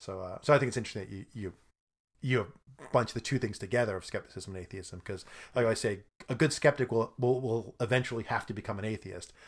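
A man's somewhat breathy voice in an American accent, medium-pitched and very fast, with ordinary pitch variation, big swings in loudness, and a very clean recording with a silent background. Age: 50s. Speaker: improv comedian. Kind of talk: casual chat.

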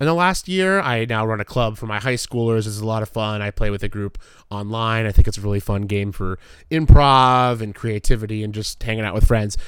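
A man with a plain, everyday voice, fairly low pitch, ordinary pitch variation, big swings in loudness and a fairly quick pace, on a very clean recording with a silent background. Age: 30s. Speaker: sports podcast co-host and high school teacher. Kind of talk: casual chat.

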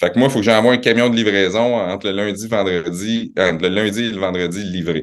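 A man talks at a very fast pace in a fairly low pitch. His intonation stays fairly even. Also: hardly any pauses. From Quebec City, Québec. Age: 40s. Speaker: retail company president. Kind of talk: interview.

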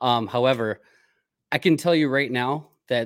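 Speaking at a moderate pace, a man uses a medium pitch and ordinary pitch variation. The recording is very clean, with a silent background. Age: 30s. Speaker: podcast host. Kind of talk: casual chat; sales pitch.

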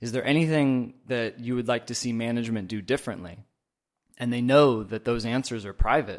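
A man with an American accent talks at a fairly quick pace in an ordinary speaking voice, medium in pitch and fairly even in intonation, on a very clean recording with a silent background. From US Northwest, Oregon. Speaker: manufacturing audit coordinator. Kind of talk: interview.

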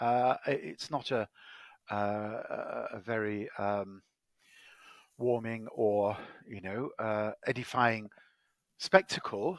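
With an English accent, a man speaks at a medium pitch. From Manchester, England. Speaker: law professor and ethicist. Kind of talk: expert interview. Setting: call from the UK.

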